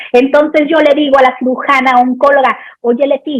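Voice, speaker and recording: A woman with a Sinaloan accent speaks in an animated tone at a high pitch. The sound is dry and close with no echo. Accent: Sinaloan Mexican Spanish. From Mexico, Sinaloa. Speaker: pediatric anesthesiologist. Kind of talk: lecture Q&A.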